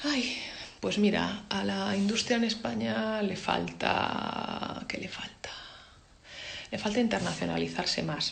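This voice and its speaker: A woman speaks at a very slow pace. Audible room echo and noticeable background noise surround her voice. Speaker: advertising creative director. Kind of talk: talk with Q&A. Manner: casual.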